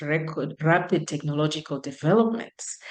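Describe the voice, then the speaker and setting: A woman speaks with a non-native accent. Her intonation is lively. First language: not English. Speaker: professor. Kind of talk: lecture. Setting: video call.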